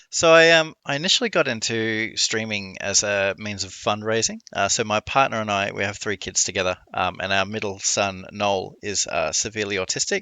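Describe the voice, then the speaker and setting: A man speaks in an Australian accent at a fairly low pitch. He uses ordinary pitch variation and hardly any pauses. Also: moderate pace. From Australia, Melbourne. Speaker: streamer. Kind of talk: casual interview chat.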